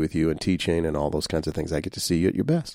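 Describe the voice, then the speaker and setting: On a very clean recording with a silent background, a man in a Louisiana accent talks at a very fast pace with a dark, mellow tone. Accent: Southern US (Louisiana). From US South, Shreveport, Louisiana. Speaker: singer-songwriter. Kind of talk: casual chat.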